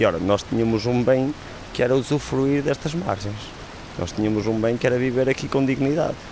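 This man's voice sits at a medium pitch and varies in pitch in an ordinary way. Behind him, background noise is noticeable. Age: 30s. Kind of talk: testimony.

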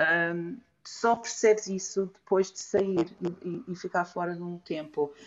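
A woman speaks at a fairly low pitch. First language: English (speaking Portuguese). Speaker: illustrator. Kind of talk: casual chat. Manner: halting.

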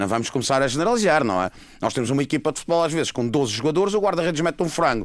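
A man at a very fast pace, with very wide pitch swings. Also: fairly high pitch for a man. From Madeira, Portugal. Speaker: orthopedic surgeon. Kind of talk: radio panel discussion.

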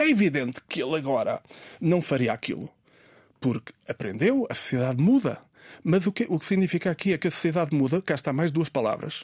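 A man speaks at a fairly quick pace with a fairly high pitch and very wide pitch swings. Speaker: writer and professor. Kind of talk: casual chat. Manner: halting.

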